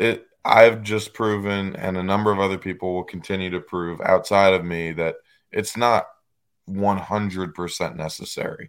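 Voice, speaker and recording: Heard on a very clean recording with a silent background, a man with a plain, everyday voice speaks at a moderate pace in a fairly low pitch with fairly even intonation. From northern US. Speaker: professional bass angler. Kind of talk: casual chat.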